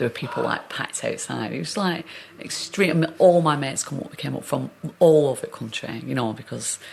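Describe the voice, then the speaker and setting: Over noticeable background noise, a woman talks at a very fast pace with a strong Northern English accent. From Northern England. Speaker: actor. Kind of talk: interview answer.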